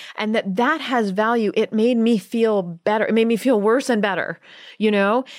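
Speaking at a moderate pace, a woman has a plain, everyday voice, fairly high in pitch, with ordinary pitch variation and very even loudness. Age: 40s. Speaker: author and journalist. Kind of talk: interview.

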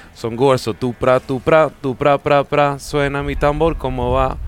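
This man's pitch is medium and his intonation fairly even. He keeps a moderate pace over noticeable background noise. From Sweden. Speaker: singer and percussionist. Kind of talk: casual chat. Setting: stage with audience.

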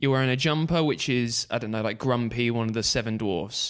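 Here a man speaks with an English accent. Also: very clean recording, silent background. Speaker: podcast host. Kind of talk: casual chat.

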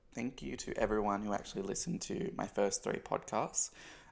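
This man, in an Australian accent, keeps up a fairly quick pace. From Australia, country town. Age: 20s. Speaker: podcast host. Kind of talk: casual monologue.

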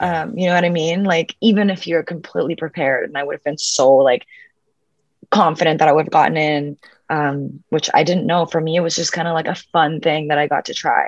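The woman's voice sits fairly low in pitch. She talks at a fairly quick pace. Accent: Spanish. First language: Spanish. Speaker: actress. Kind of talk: casual interview chat. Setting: video call.

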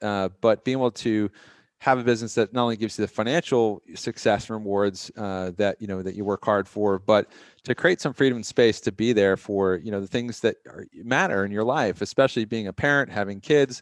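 A man talks at a fairly quick pace in a fairly low pitch with ordinary variation, using an ordinary speaking voice. The sound is dry and close with no echo, against a quiet background. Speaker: podcast host. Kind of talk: scripted intro and casual business podcast.

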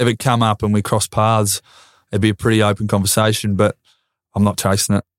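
A man with an Australian accent speaks in a fairly low pitch at a very even loudness. The recording is very clean and dry, close with no echo, over a silent background. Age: 20s. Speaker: retired footballer. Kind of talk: casual chat.

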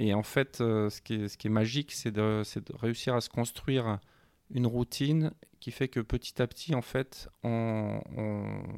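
Recorded very cleanly against a silent background, dry and close with no echo, a man of medium pitch speaks very slowly with fairly even intonation. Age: 50s. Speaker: offshore sailor. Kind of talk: interview. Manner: halting.

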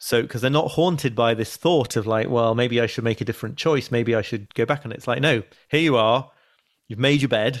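A man talks in an English accent with ordinary pitch variation. The recording is very clean, with a silent background. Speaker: journalist and author. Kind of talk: interview. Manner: halting.

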